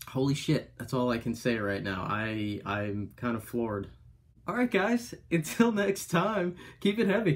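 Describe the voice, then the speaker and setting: A man speaks with very wide pitch swings and a somewhat breathy quality. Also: fairly slow pace. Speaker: music reaction vlogger. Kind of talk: casual reaction commentary. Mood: amazed, amused. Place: home room. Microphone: webcam.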